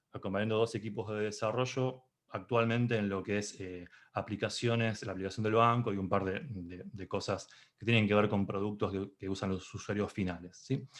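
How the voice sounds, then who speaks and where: Fairly even intonation from a man with a fairly low pitch, over a quiet background. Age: 40s. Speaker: Scrum Master and conference speaker. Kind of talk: conference talk. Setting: video call. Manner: fast.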